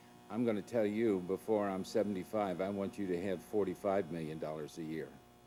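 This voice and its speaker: A man's very deep, low voice at a fairly quick pace, ordinary pitch variation, music in the background. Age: 70s. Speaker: priest and charity founder. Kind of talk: documentary narration; casual chat.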